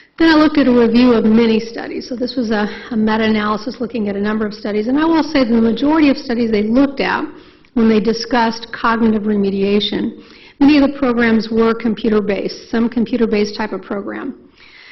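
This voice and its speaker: The speaker talks at a very fast pace with ordinary pitch variation, and the room echo is audible. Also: woman, fairly high pitch for a woman. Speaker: neuropsychologist. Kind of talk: lecture. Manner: animated.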